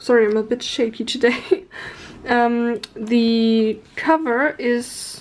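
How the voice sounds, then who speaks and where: At a very slow pace, a woman talks in a high voice with ordinary pitch variation. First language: not English. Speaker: art youtuber. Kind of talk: product review haul. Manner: casual, hesitant with fillers.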